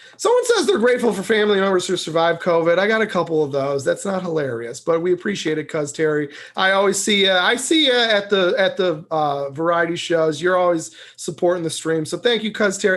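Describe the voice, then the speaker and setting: Very fast and high-pitched, a man talks with an American accent. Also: ordinary pitch variation, hardly any pauses. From US Southwest. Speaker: call-in show host. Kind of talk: casual live-stream chat.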